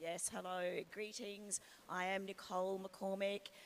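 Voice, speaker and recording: A woman's monotone, flat delivery with an Australian accent. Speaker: industry analyst. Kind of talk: panel discussion.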